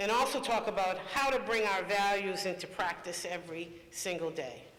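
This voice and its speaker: Amid audible room echo, a man speaks at a moderate pace in a high pitch with ordinary pitch variation. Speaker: panel moderator. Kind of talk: panel discussion moderation.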